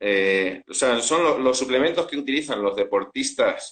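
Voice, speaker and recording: The speaker talks in a Spanish accent. The pace is fairly slow. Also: man. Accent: Spanish (Spain) accent, still noticeable. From Spain. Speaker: food scientist and supplement entrepreneur. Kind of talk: interview. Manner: hesitant, many fillers.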